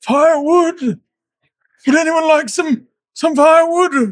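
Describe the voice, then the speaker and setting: Someone puts on a squeaky, high-pitched character voice. They speak at a fairly slow pace. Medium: actual play. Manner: polite, earnest.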